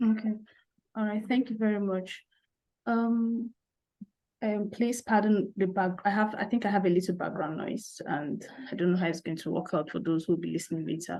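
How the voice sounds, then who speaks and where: With a Nigerian accent, a woman talks at a moderate pace in a medium pitch with ordinary pitch variation. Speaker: SEO specialist. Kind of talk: interview. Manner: halting.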